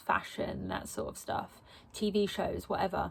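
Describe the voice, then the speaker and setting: In an Essex accent, a woman speaks at a fairly slow pace. Her recording is very clean over a silent background. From England, Essex. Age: 20s. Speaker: vlogger. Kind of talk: personal vlog monologue. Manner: rambling, hesitant with many ums.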